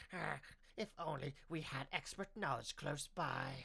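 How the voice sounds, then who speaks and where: Using a put-on character voice, a man talks at a moderate pace and a fairly high pitch. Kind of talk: audiobook narration. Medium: read story. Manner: halting, twitchy.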